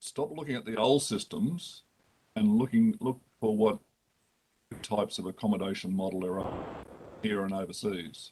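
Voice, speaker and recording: Pausing long and often, a man with an Australian accent speaks at a moderate pace. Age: 60s. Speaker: lawyer and lodging house operator. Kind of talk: committee hearing testimony.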